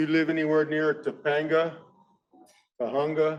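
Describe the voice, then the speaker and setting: At a moderate pace, a man with an American accent talks in a fairly high pitch. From Southern California, San Fernando area. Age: old. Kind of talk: land acknowledgement talk. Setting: conference hall with audience. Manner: loud.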